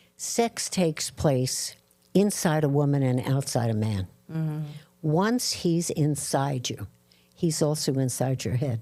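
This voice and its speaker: Very deep, low female voice in an American accent, with lively intonation and a fairly slow pace, on a very clean recording with a silent background. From Brooklyn, New York. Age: 80s+. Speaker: psychologist and former TV anchor. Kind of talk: interview answer.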